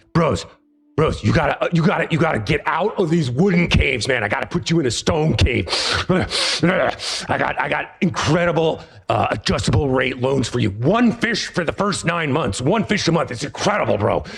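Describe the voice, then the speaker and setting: Putting on a raspy character voice, a man speaks at a moderate pace in a fairly high pitch, with faint music in the background. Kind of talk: laid-back bro slang. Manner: rushing, pushy salesman.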